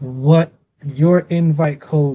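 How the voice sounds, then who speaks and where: Fairly high in pitch, a man speaks with a dark, mellow tone, somewhat breathy, his intonation fairly even. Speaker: business trainer. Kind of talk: training session.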